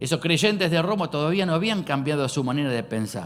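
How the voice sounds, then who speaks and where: Man with a Rosario accent, fairly high pitch and lively intonation, over background music in a room with audible echo. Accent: Rosario Argentine. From Argentina, Rosario. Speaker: pastor. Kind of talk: sermon. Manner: hesitant, many fillers.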